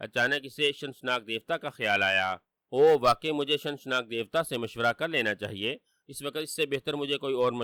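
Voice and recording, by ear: Reading aloud in a natural voice with ordinary pitch variation, the speaker is heard against a quiet background.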